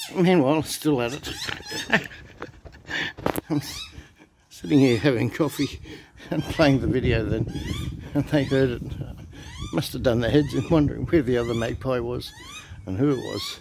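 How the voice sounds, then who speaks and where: Over noticeable background noise in a dry, echo-free sound, a man talks at a moderate pace with ordinary pitch variation and long, frequent pauses. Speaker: backyard bird feeder vlogger. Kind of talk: casual vlog chat. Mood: amused, relaxed. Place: garden. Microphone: phone near.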